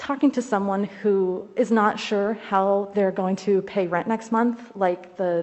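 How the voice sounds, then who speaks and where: A woman speaks with a Midwestern American accent. Her pace is very slow. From Ohio, Zanesville. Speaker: community organizer and state rep candidate. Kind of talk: legislative testimony. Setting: committee hearing room, wearing a mask. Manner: formal.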